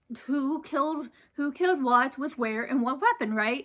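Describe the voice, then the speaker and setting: On a very clean recording with a silent background, a woman speaks at a fairly slow pace with high pitch. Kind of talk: casual talk to camera.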